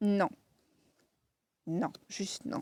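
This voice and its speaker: A dark, mellow tone with a Lorraine accent comes through with ordinary pitch variation in a dry, close sound with no echo. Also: woman. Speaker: tarot card reader. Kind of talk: tarot reading to camera. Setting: outdoors. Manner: casual, hesitant with many fillers.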